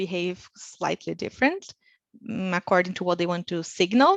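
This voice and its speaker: Quick-paced, a woman with a Portuguese accent talks at a medium pitch with ordinary pitch variation, her voice dry and close with no echo against a quiet background. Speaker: researcher. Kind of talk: webinar lecture. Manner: frequent filler words (uh).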